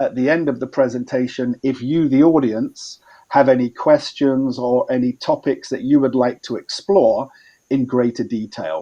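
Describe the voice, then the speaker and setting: With an English accent, a man talks at a moderate pace in a dark, mellow tone. His pitch sits at medium and varies in an ordinary way. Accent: Anglo-Saxon (English). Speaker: environmental expert. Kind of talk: training presentation.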